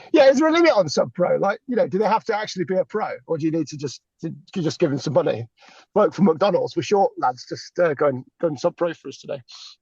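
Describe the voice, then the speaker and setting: Here a man's voice sits high in pitch, with lively intonation. He talks at a very fast pace, and the sound is dry and close with no echo. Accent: English. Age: 40s. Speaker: cricket podcast co-host. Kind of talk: casual chat.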